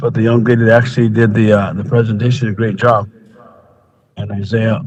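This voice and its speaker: Man with monotone, flat intonation at a very fast pace, with audible room echo. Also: medium pitch for a man. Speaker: county commissioner. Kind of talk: meeting remarks. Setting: public meeting. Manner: halting.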